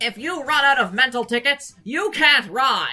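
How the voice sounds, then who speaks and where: A put-on character voice, female-sounding and high-pitched. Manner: loud, goofy.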